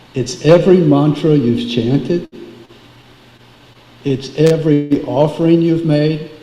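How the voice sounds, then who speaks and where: A man speaks at a fairly high pitch with fairly even intonation. His pace is fairly slow with long, frequent pauses, over noticeable background noise. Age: 70s. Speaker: devotee speaking at a memorial. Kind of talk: memorial tribute. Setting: memorial gathering, live streamed.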